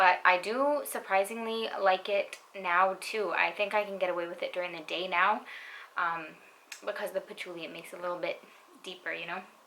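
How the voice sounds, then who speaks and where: A woman speaks quietly at a medium pitch. Her intonation stays fairly even. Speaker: beauty YouTuber, perfume reviewer. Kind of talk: casual product review. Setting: at home at night.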